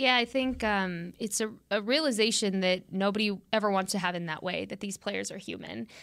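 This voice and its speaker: A woman's a normal speaking voice at a medium pitch and moderate pace, with hardly any pauses, on a very clean recording with a silent background. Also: ordinary pitch variation. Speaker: podcast co-host. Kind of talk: casual sports talk.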